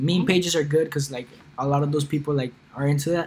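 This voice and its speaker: A man speaks at a fairly high pitch in a somewhat breathy voice. His intonation stays fairly even. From Colombia. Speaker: e-commerce YouTuber. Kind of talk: livestream Q&A. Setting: live stream. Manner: casual, filler-heavy.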